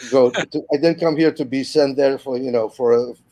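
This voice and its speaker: In a Polish accent, the speaker has a dark, mellow tone, ordinary pitch variation and a moderate pace. The sound is dry and close, with no echo. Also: man. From Poland, Warsaw. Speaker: musician. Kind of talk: casual interview chat. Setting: video call live stream. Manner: halting, many repetitions.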